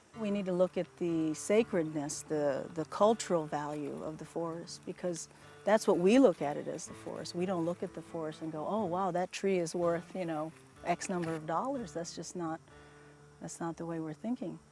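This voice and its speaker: A woman's fairly low voice at a moderate pace, with ordinary pitch variation, big swings in loudness, and music in the background. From New Brunswick, Canada. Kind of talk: interview answer. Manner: thoughtful, hesitant with fillers.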